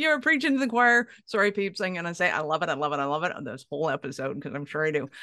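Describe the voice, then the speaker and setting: A woman's bright, sharp voice with very wide pitch swings against a quiet background. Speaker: podcast host. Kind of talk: interview. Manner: fast; animated.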